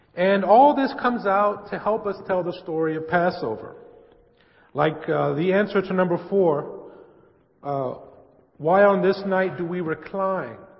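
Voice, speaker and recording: This man has a high pitch and an American accent, with ordinary pitch variation. He leaves long, frequent pauses, and audible room echo surrounds his voice. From US West Coast, San Francisco. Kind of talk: church presentation. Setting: church with audience.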